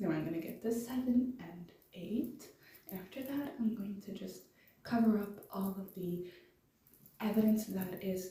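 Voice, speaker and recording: A woman speaks at a moderate pace with ordinary pitch variation, her voice carrying audible room echo amid noticeable background noise. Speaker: fan theory video maker. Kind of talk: casual explainer monologue. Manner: hesitant, many fillers. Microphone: low quality recording.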